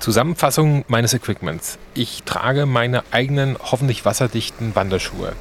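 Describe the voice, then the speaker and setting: Against noticeable background noise, a man speaks at a medium pitch with ordinary pitch variation. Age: 40s. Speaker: travel podcast host. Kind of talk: travel narration and interview. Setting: outdoors hiking in the mountains.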